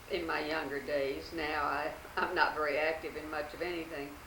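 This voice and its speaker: A woman with an American accent speaks at a moderate pace in a very deep, low pitch. Noticeable background noise runs underneath. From Fort Worth, Texas. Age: old. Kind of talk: oral history interview answer.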